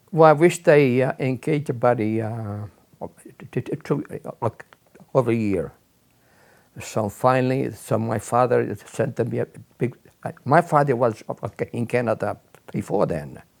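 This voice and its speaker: With an Italian accent, a man of medium pitch speaks at a fairly slow pace, with ordinary pitch variation, big swings in loudness, and long, frequent pauses. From Sicily, Italy. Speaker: immigrant recounting life story. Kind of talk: oral history interview. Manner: halting, many repetitions and fillers.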